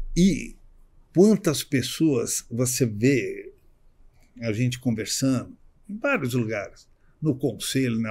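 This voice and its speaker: A man with a medium pitch and ordinary pitch variation talks at a very slow pace in a somewhat breathy voice, with long, frequent pauses, in a very clean recording with a silent background. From Brazil, São Paulo. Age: 60s. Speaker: social club vice-president. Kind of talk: podcast interview. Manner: halting, with many repetitions.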